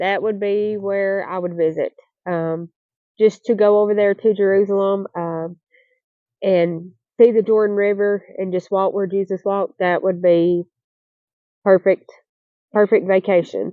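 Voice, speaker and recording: A woman with a Southern US accent speaks at a fairly slow pace in a monotone, flat intonation, leaving long, frequent pauses. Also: medium pitch for a woman. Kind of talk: casual Q&A talk to camera.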